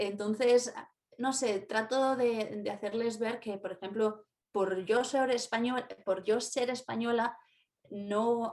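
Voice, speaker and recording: Her pitch fairly high, a woman speaks at a very slow pace. Her intonation is monotone and flat. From Spain, Valladolid. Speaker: university language teacher. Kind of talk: casual interview.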